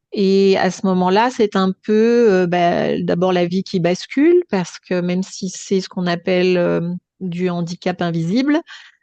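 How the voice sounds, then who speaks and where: At a very slow pace, a woman with fairly low pitch and a dark, mellow tone speaks with ordinary pitch variation, the sound dry and close with no echo against a quiet background. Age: 60s. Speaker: stroke survivor sharing her story. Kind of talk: testimony. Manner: hesitant, many filler sounds.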